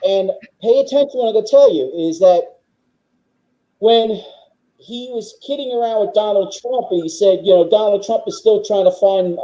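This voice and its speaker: Speaking at a moderate pace with a New York accent, a man uses a high pitch, ordinary pitch variation and a dark, mellow tone. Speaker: political guest. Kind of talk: casual chat. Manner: forceful; halting.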